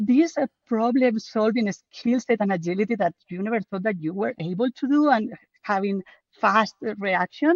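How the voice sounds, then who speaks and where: A woman with a strong Spanish accent, a fairly high pitch and lively intonation. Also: moderate pace. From Spain. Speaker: book co-author, project manager. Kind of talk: podcast interview.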